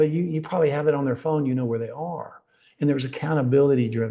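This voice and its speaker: A man speaks in a North Georgia accent at a fairly high pitch. His tone is dark and mellow, and somewhat breathy. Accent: Southern US (North Georgia). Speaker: risk management consultant. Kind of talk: webinar presentation. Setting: online webinar.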